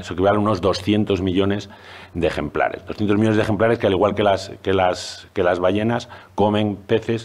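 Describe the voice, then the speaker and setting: A man talks at a fairly quick pace in a fairly low pitch. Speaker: zoology professor and researcher. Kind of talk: panel presentation. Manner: fast; hesitant, many fillers.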